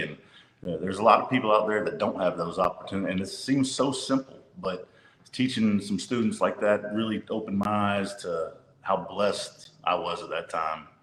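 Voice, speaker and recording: A man speaks with a Louisiana accent. His pace is moderate. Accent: Louisiana Southern US. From northern Louisiana (Monroe). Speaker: high school basketball coach. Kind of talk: interview conversation.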